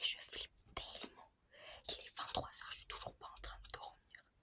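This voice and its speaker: There is noticeable background noise as a woman whispers. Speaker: vlogger. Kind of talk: casual vlog. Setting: at night, others asleep. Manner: whispering.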